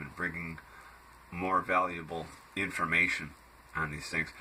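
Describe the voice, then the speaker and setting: This man's very deep, low voice moves at a fairly slow pace with monotone, flat intonation. Noticeable background noise runs underneath. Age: 60s. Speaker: health food blogger. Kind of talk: casual monologue. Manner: hesitant, many fillers.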